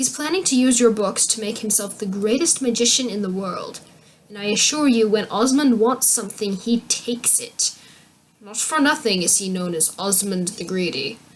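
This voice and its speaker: In a put-on character voice, a woman speaks quietly and huskily at a moderate pace, her pitch fairly high. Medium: read story. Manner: hushed, conspiratorial.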